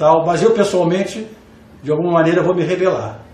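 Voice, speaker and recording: Audible room echo hangs on the voice. The speaker is a man. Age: 60s. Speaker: jurist and law professor. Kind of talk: panel debate. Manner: halting, repeated words.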